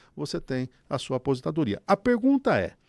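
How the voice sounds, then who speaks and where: Recorded very cleanly against a silent background, with a dry, close sound and no echo, a man speaks at a fairly high pitch with very wide pitch swings. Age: 60s. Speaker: economist. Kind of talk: radio economics commentary.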